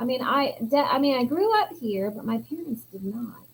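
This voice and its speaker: The pitch swings very widely at a fairly slow pace. There is a slight Southern US accent. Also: woman. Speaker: yarn business co-owner and livestream co-host. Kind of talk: casual chat.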